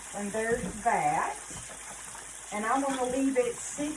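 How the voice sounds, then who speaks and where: A woman with a Southern US accent speaks at a fairly slow pace in a high voice with lively intonation, over noticeable background noise and audible room echo. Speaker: cooking channel host. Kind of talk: cooking tutorial. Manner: casual, chatty.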